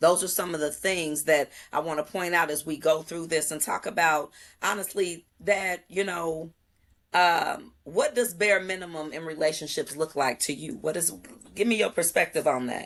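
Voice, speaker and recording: This woman has an ordinary speaking voice, pitched fairly low, with ordinary pitch variation. She talks at a moderate pace against a quiet background. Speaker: podcast host. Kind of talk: casual chat.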